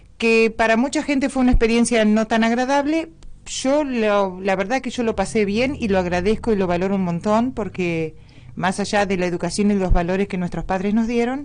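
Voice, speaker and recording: With a plain, everyday voice, a woman speaks at a moderate pace and a fairly high pitch, her pitch varying in an ordinary way. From Argentina, Entre Ríos (rural Gualeguay area). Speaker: guest, local teacher. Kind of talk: radio interview.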